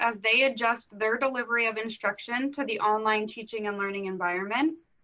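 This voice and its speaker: A woman speaks with an American accent and ordinary pitch variation. Music plays in the background. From US Northeast, Philadelphia area. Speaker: instructional leadership consultant. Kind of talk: conference presentation.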